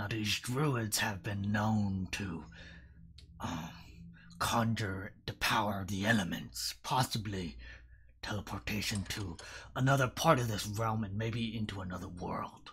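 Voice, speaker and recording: Putting on a character voice, a man talks at a moderate pace with a fairly low pitch and ordinary pitch variation. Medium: actual play.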